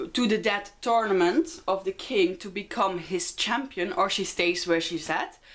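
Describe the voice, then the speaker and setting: Speaking with a Dutch accent, a woman goes at a fairly slow pace with ordinary pitch variation and hardly any pauses. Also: medium pitch for a woman. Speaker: book vlogger. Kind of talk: casual book review vlog. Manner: hesitant with many fillers.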